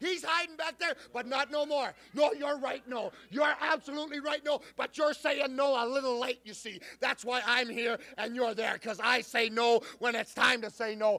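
Raised and projected, a man's extremely high, bright and sharp voice keeps a moderate pace with ordinary pitch variation and hardly any pauses. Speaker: professional wrestler. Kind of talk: wrestling promo. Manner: loud, aggressive, taunting. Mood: angry, taunting. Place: studio. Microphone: handheld.

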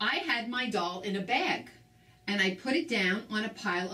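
The pitch moves in an ordinary way throughout a natural reading voice.

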